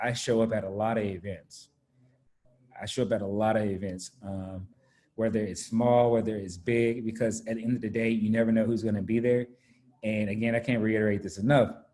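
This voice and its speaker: Fairly even in intonation, a man with an American accent speaks in a dark, mellow tone. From US South, Raleigh, North Carolina. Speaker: corporate business speaker. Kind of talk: talk to students. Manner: halting, many fillers.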